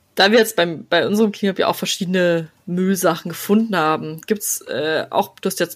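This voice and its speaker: The speaker uses a normal speaking voice, with ordinary pitch variation and a moderate pace. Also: woman. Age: 20s. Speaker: podcast host. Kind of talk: casual chat.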